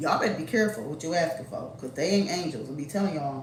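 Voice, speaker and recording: With audible room echo and noticeable background noise, a woman speaks. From Detroit, US Midwest. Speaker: YouTuber. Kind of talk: casual storytime monologue. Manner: animated.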